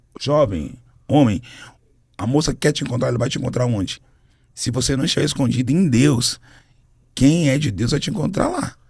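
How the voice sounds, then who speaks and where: At a moderate pace broken by long, frequent pauses, a man uses an animated tone at a medium pitch, with ordinary pitch variation and vocal fry. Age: 40s. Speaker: gospel singer and minister. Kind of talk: podcast interview.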